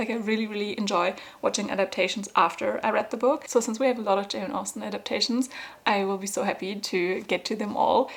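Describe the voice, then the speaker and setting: A woman talks at a very fast pace. She has a non-native accent. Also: medium pitch for a woman. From Germany. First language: German. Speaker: book vlogger. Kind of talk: casual vlog talk to camera. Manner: animated.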